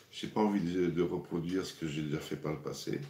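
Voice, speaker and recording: Audible room echo trails a man speaking at a very fast pace in a very deep, low pitch. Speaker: cooking show host. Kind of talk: live cooking stream. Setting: livestream. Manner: casual, hesitant with repetitions.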